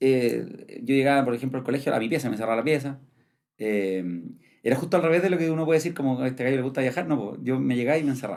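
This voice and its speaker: A man talks very fast at a medium pitch. His pitch variation is ordinary. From Chile, Santiago. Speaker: traveler and content creator. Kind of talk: podcast interview. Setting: studio.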